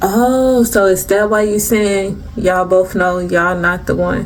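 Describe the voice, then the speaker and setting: Speech comes at a fairly slow pace, with music in the background and audible room echo. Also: woman. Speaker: tarot reader. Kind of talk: tarot reading. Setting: recorded on camera. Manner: strong, projecting on camera.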